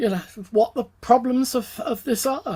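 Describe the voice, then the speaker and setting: Moderately paced speech from a woman, her voice a little breathy. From England, London. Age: 70s. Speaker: economist. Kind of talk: interview. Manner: halting, many fillers.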